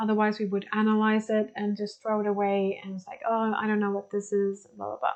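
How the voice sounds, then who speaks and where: A woman with a Swedish accent talks at a fairly quick pace in a monotone, flat intonation, with hardly any pauses. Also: medium pitch for a woman. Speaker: spiritual teacher. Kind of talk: lecture. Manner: halting.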